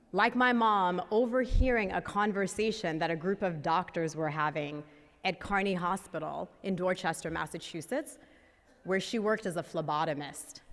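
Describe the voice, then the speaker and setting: Talking at a moderate pace, a woman has an unremarkable speaking voice at medium pitch with ordinary pitch variation. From US Northeast, inner-city Boston, Haitian immigrant family. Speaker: nonprofit founder and CEO. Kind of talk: conference talk. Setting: stage with audience.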